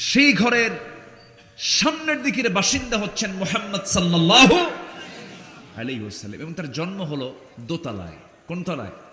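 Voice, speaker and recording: A man's raised, projected voice, high in pitch, with very wide pitch swings, big swings in loudness, and noticeable background noise. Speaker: Islamic preacher. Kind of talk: religious sermon at a gathering. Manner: call-and-response with audience.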